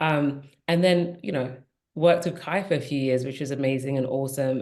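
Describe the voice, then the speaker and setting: A woman with a British accent, a very deep, low pitch and a moderate pace, in audible room echo. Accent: British accent, kept. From England, Nigerian parents. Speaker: diversity and inclusion executive. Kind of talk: podcast panel conversation.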